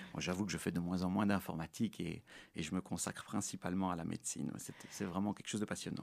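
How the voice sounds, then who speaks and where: A very fast man, very deep and low in pitch, with fairly even intonation on a very clean recording with a silent background. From Belgium, Brussels. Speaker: orthopedic surgeon. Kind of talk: interview. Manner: halting.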